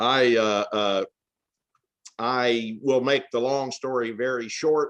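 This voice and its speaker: Very slowly and with fairly even intonation, a man talks with an American accent. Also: medium pitch for a man. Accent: Southern Appalachian, hillbilly. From Tennessee, US South. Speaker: author. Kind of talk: interview. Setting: remote call from family farm.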